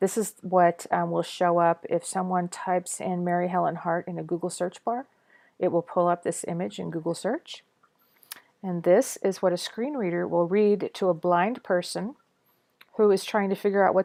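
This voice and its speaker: Dry and close with no echo, a woman's voice has a dark, mellow tone at a medium pitch with ordinary pitch variation. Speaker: web design tutor. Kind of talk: screen-recorded tutorial. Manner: casual, with hesitations and self-corrections; fast.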